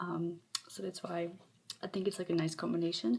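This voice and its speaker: A soft-spoken woman with a fairly low voice talks at a very fast pace with ordinary pitch variation. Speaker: ASMR content creator. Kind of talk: soft-spoken ASMR show-and-tell. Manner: hesitant, many filler ums.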